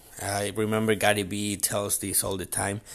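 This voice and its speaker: On a very clean recording with a silent background, a man with a Spanish accent talks in a fairly low pitch. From Chile. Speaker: podcast host, entrepreneur. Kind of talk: motivational monologue. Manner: halting, many fillers.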